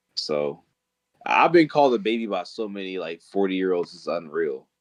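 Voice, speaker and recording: At a moderate pace, a man speaks with an animated tone and big swings in loudness. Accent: American. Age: 20s. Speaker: podcast guest. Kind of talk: casual chat.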